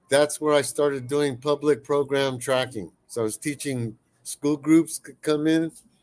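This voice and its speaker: Speaking at a moderate pace, a man uses an ordinary speaking voice and fairly even intonation. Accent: American. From San Francisco Bay Area, California. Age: 60s. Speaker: naturalist and eyewitness. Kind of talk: interview storytelling. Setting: podcast interview.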